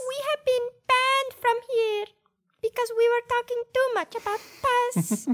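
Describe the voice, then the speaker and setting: The speaker uses a put-on character voice, squeaky and extremely high. The pace is moderate. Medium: actual play. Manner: theatrical, exaggerated.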